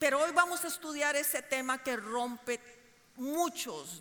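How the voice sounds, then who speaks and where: A woman speaks at a very slow pace with very wide pitch swings. There is audible room echo. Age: 50s. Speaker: preacher. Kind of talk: sermon.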